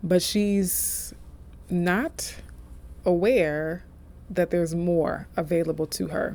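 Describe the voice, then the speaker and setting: Soft-spoken, a woman talks at a fairly low pitch. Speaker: tarot reader. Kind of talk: tarot reading. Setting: office.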